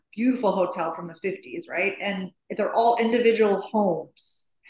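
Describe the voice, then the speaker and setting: A woman with an American accent, medium pitch, ordinary pitch variation and a moderate pace, with audible room echo. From US Midwest, Chicago. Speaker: interior designer. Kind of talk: interview.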